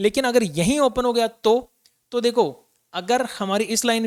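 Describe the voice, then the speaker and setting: The speech comes at a moderate pace, with a dry, close sound and no echo. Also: man. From India, Rajasthan (Jaipur). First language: Rajasthani (speaking Hindi). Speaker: stock market analyst. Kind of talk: market analysis tutorial. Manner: casual, conversational.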